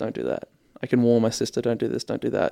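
With an Australian accent, a man talks at a fairly quick pace. The sound is dry and close, with no echo. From Australia, Ipswich, Queensland. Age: 20s. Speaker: radio host and journalism graduate. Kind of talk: casual interview. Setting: radio studio.

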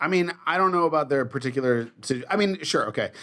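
A man with a plain, everyday voice speaks at a moderate pace, his intonation lively. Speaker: podcast host. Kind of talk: casual chat.

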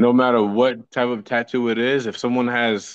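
At a moderate pace, a man talks in a normal speaking voice with a medium pitch. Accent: American. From New Jersey. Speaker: podcast co-host. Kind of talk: casual chat.

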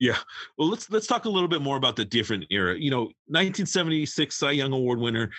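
This man has a fairly high-pitched voice and talks at a very fast pace. His pitch swings very widely while his loudness stays very even. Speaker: podcast host. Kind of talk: casual interview.

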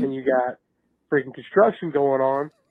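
A man is speaking. He has a Southern US accent. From Athens, Georgia. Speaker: voicemail caller, college football fan. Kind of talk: fan voicemail rant. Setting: phone voicemail. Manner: animated.

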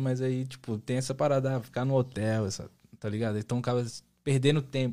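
His voice sits at a medium pitch. The man's intonation stays monotone and flat, with a moderate pace. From Brazil, São Paulo and Bahia. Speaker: singer-songwriter. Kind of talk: casual chat.

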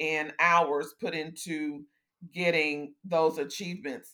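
Her accent is American. She talks at a very slow pace. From Houston, Texas. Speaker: compliance professional. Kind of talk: interview.

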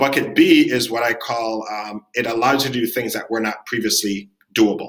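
The man's tone is bright and sharp. He keeps a moderate pace. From Jamaica. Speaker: ed tech founder and CEO. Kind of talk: interview conversation.

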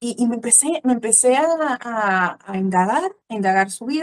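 Her fairly high voice carries lively intonation at a moderate pace, recorded with a dry, close sound and no echo. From Mexico. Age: 30s. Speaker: church teacher. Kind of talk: interview.

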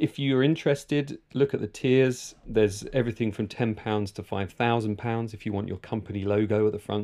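Against a quiet background, a man with a normal speaking voice talks at a fairly quick pace, his medium pitch held in fairly even intonation. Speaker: documentary filmmaker and podcaster. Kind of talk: interview.

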